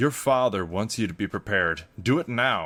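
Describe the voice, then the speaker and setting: A man puts on a gruff character voice. His pitch sits fairly low and his pace is moderate. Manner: commanding, stern.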